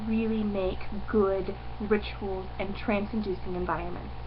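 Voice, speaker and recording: A woman talks somewhat slowly. Background noise is clearly audible. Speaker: pagan video blogger. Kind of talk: casual vlog. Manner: hesitant, many fillers.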